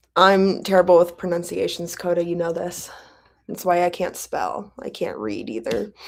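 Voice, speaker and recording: With an American accent, a woman speaks at a moderate pace in a fairly low pitch with vocal fry, lively intonation and big swings in loudness, all on a very clean recording with a silent background. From Kentucky, US South. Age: 20s. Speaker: booktube streamer hosting reading sprints. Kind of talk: casual live-stream chat. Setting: live stream.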